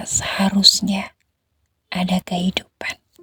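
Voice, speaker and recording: At a very slow pace, a woman speaks at a medium pitch in a monotone with flat intonation. The sound is dry and close, with no echo. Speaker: ASMR horror storyteller. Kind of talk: whispered ASMR horror story. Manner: whispered, soft, slow.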